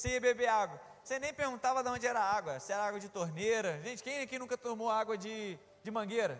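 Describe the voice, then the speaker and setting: Animated and very fast, a man speaks at a high pitch with ordinary pitch variation. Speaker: preacher. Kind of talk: sermon.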